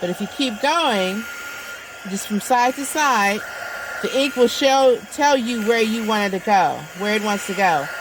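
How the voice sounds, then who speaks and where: Someone talks at a fairly slow pace with lively intonation against noticeable background noise. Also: woman, fairly high pitch for a woman. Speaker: crafts video maker. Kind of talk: tutorial. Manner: loud.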